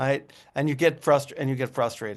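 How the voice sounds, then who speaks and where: Fairly high pitch from a man at a moderate pace. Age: 60s. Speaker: rabbi. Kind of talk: interfaith discussion. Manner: halting, many repetitions.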